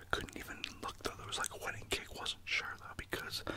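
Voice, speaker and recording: A whisper against noticeable background noise. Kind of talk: ASMR whispering. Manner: whispered.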